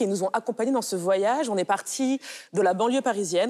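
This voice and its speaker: The recording is very clean, with a silent background. A woman talks in a dark, mellow tone at a medium pitch, with ordinary pitch variation. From France. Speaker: art curator. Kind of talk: interview.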